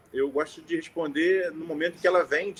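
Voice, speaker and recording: A man's fairly high-pitched voice with a strong Carioca accent and fairly even intonation. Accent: carioca, strong chiado. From Rio de Janeiro, Brazil. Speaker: notary. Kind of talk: informal talk to lawyers on a live stream. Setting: live stream.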